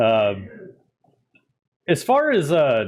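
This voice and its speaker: Mumbling, a man speaks with lively intonation. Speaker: tabletop gaming channel host. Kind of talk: interview.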